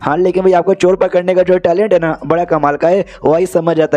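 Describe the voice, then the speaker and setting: A man speaks in a high voice. The sound is dry and close, with no echo. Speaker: anime recap narrator. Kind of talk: casual Hindi anime recap narration. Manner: chatty, informal.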